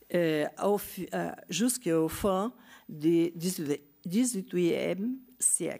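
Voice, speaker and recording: Very slowly and with long, frequent pauses, a woman with a Portuguese accent speaks in a dark, mellow tone at a fairly low pitch, showing ordinary pitch variation on a very clean recording with a silent background. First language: Portuguese (speaking French). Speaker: geography professor. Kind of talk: conference talk. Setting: conference with audience. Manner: halting, many hesitations.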